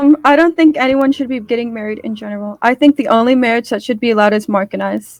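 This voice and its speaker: Soft-spoken and high-pitched, a woman talks at a very fast pace with hardly any pauses and ordinary pitch variation, the sound dry and close with no echo. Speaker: mock debate candidate. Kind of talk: mock political debate.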